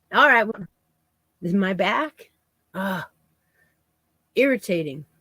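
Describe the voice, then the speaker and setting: A woman speaks at a very slow pace with very wide pitch swings and a bright, sharp tone. The sound is dry and close, with no echo. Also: medium pitch for a woman. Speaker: crochet youtuber. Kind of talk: casual live yarn chat. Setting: livestream. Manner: soft-spoken.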